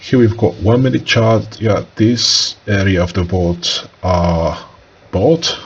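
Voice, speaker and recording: A man at a very slow pace with lively intonation, over noticeable background noise. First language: non-English. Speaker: day trader. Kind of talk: trading tutorial, screen walkthrough. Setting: home, talking to screen recording. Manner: hesitant, many filler uhs.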